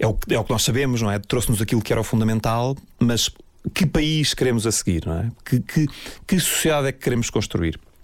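His voice sits at a medium pitch for a man and carries lively intonation. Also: fairly quick pace. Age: 40s. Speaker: architect. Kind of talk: personal storytelling interview. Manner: halting, many fillers and repetitions.

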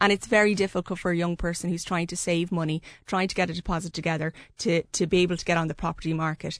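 A woman with an Irish accent, fairly low-pitched and very fast, in a monotone, flat delivery, with a dry, close sound, no echo and a quiet background. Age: young. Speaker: journalist. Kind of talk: radio panel discussion. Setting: studio.

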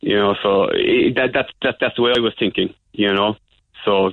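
A man with a Cork accent at a fairly low pitch, moderate pace and monotone, flat intonation. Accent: Cork Irish. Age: 30s. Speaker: caller. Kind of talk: phone-in testimony. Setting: phone call. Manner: halting, repetitive.

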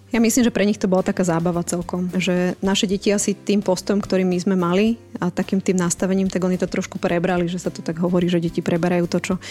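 A woman's medium-pitched voice at a very fast pace with fairly even intonation, music in the background. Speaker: mother of ten. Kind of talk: interview. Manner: brisk, firm-sounding.

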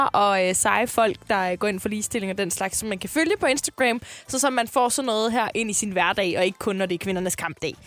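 An unremarkable speaking voice from a woman, fairly high-pitched, with lively intonation, a moderate pace and hardly any pauses. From Jutland, Denmark. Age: 20s. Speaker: radio host. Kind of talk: casual chat.

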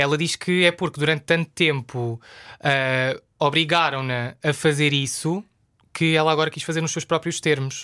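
A man with a European Portuguese accent, fairly high in pitch, bright and sharp in tone, fairly even in intonation, at a moderate pace, with a dry, close sound with no echo and a very clean recording over a silent background. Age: 20s. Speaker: journalist. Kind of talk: casual chat.

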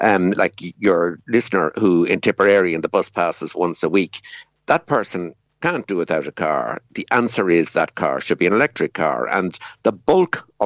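Against a quiet background, a man with a Dublin accent speaks at a moderate pace and a fairly low pitch. His voice shows vocal fry and very wide pitch swings. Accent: Irish (Dublin area). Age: 70s. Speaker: economist and former climate council chair. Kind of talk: radio interview discussion. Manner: hesitant, filler-heavy.

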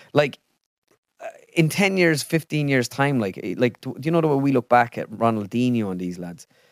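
With an Irish accent, a man speaks at a moderate pace and medium pitch, his intonation lively. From Ireland. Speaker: impressionist. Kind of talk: casual chat. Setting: video studio.

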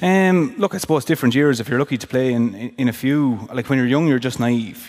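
A medium-pitched man with an Irish accent. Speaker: former hurler, podcast co-host. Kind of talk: live podcast chat, storytelling. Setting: theatre stage with audience.

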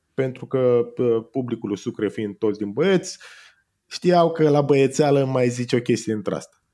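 The voice has a dark, mellow tone and ordinary pitch variation, moving at a fairly slow pace. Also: man, medium pitch for a man. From Romania, Danube Delta (Tulcea county). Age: 30s. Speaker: copywriter and comedian. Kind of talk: casual interview.

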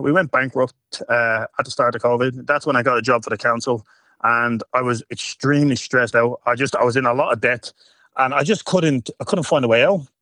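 A man with a Dublin accent, bright and sharp in tone, at a fairly quick pace, the sound dry and close with no echo. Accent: Dublin Irish. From Ireland, Dublin. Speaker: adult content creator. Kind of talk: radio interview.

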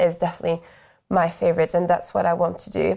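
With a French accent and vocal fry, a woman talks very fast at a medium pitch on a very clean recording with a silent background. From France. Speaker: primary school teacher. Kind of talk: interview.

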